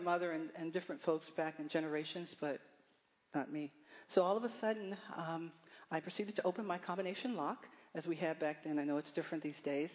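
At a fairly quick pace, a woman in an American accent uses an unremarkable speaking voice, fairly low in pitch with ordinary pitch variation. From Baltimore, Maryland. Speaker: church member. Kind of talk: testimony.

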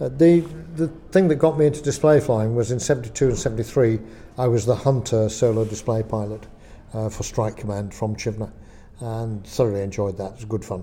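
Somewhat breathy and dark, mellow in tone, a man's voice sits at a medium pitch. He speaks at a moderate pace with ordinary pitch variation. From Lancashire, northern England. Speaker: air display pilot. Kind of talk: interview.

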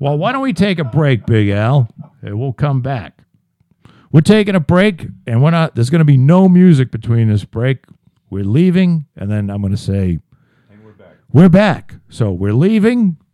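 Fairly high in pitch yet dark and mellow in tone, a man's voice moves through very wide pitch swings. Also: moderate pace, big swings in loudness. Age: 50s. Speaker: podcast host. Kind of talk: casual chat.

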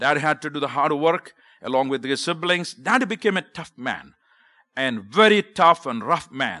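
A man's bright, sharp voice, fairly high in pitch, swings very widely as he speaks at a moderate pace. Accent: Indian. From South India (Kerala). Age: 50s. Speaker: visiting preacher and missionary. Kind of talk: sermon. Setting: church.

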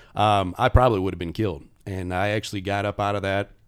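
In a Midwestern American accent, a man talks at a very fast pace and fairly low pitch on a very clean recording with a silent background. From Indiana (South Bend). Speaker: safety consultant and professor. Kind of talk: casual interview.

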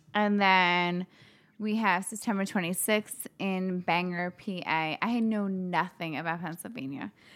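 Heard in a very clean recording with a silent background, a woman with an unremarkable speaking voice talks at a fairly slow pace, a medium pitch, and fairly even intonation. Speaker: fitness business owner. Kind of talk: casual chat.

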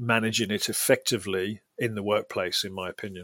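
With a British accent, a man talks at a fairly quick pace in a medium pitch and a bright, sharp tone. His intonation is fairly even, and the recording is very clean with a silent background. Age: 40s. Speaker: mental health campaigner and public speaker. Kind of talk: interview. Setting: studio.

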